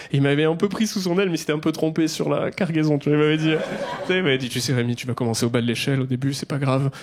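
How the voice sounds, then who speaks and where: Amid noticeable background noise, a man talks at a very fast pace with hardly any pauses, his voice fairly high with ordinary pitch variation. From southwest France, near Toulouse. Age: 30s. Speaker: stand-up comedian. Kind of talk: stand-up. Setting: stage with audience. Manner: casual, conversational.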